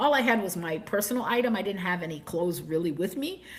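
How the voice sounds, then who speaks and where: A somewhat breathy voice with an American accent moves at a fairly quick pace through very wide pitch swings. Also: woman. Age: 60s. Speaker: channel host on sabbatical travel. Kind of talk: livestream travel storytelling. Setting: livestream recording. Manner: fast.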